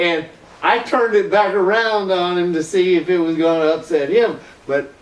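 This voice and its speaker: A man with an American accent speaks at a high pitch with ordinary pitch variation over noticeable background noise. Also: very even loudness. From US South, Florida. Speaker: internet dancer. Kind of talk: casual interview chat. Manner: slow.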